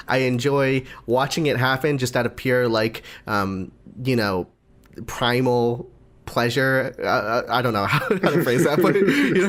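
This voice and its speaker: A man with an ordinary speaking voice, medium in pitch, at a moderate pace, with ordinary pitch variation and very even loudness. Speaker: anime podcast co-host. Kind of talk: casual chat.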